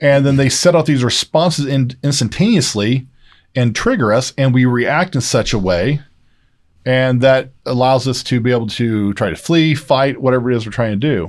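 At a moderate pace, a man speaks in a normal speaking voice at medium pitch with ordinary pitch variation, on a very clean recording with a silent background. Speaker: doctor. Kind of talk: casual chat.

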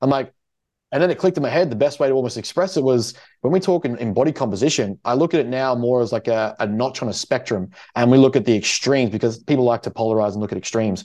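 Very fast speech in an Australian accent, with lively intonation and a dark, mellow tone. The background is quiet. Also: man, medium pitch for a man. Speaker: podcast host and prep coach. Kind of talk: casual chat.

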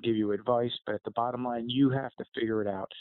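A man is talking. He has an American accent and a flat, monotone delivery. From New Jersey. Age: 50s. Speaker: retired fire chief and leadership author. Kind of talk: interview.

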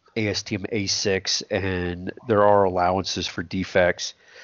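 A man's fairly low pitch at a moderate pace, with a Texan accent. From South Texas. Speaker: welding engineer and podcast co-host. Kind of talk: technical discussion. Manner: halting, many fillers.

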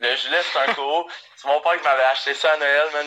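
This man talks at a moderate pace, and noticeable background noise runs under him. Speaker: sports podcast co-host. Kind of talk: casual chat.

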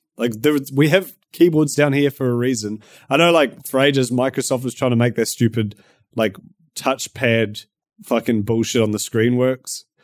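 A man with a New Zealand accent at a medium pitch and moderate pace, with ordinary pitch variation, in a very clean recording with a silent background and a dry, close sound with no echo. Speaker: YouTuber. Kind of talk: casual chat.

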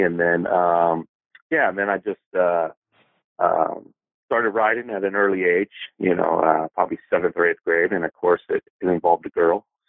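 This man speaks with an American accent at a moderate pace, his very deep, low voice keeping fairly even intonation. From Los Angeles, US West Coast. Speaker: poet and small press publisher. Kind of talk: casual interview chat.

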